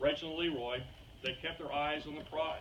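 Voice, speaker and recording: A man with a Texas accent and a fairly high pitch, amid audible room echo and noticeable background noise. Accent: Texas drawl. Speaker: wedding toast giver, relative of the bride. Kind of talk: wedding speech.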